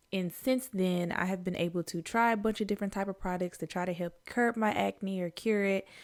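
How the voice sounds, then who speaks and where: In a Mississippi accent, a woman speaks at a fairly quick pace with hardly any pauses and fairly even intonation, on a very clean recording with a silent background. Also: medium pitch for a woman. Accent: Southern US (Mississippi). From US South, Jackson, Mississippi. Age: 30s. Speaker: beauty vlogger. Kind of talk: casual chat. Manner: calm; relaxed, with fillers. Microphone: new microphone, learning to use it.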